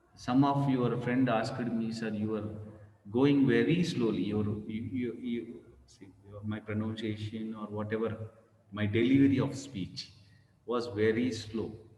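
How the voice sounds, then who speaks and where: A man with a medium-pitched voice talks fairly slowly, with long, frequent pauses and big swings in loudness. His intonation stays fairly even, and audible room echo surrounds him. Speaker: professor. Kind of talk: lecture.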